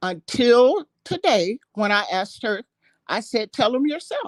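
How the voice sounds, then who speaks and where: A woman's high-pitched voice with very wide pitch swings at a fairly slow pace, dry and close with no echo, against a quiet background. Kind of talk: heated debate. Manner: halting.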